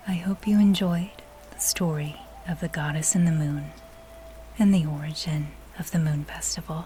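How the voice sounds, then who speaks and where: A woman with a very deep, low pitch speaks in a soothing, calm tone with fairly even intonation and long, frequent pauses over noticeable background noise. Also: moderate pace. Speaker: voice artist. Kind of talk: sleep story.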